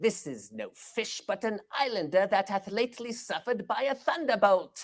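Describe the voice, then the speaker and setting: In a put-on character voice, a female-sounding speaker talks at a moderate pace and medium pitch. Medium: stage play. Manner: fearful, comic.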